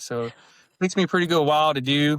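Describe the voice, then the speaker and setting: The speaker is a man with an American accent. His delivery is very fast. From US South, Alabama. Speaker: health coach, retired military officer. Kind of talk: podcast interview.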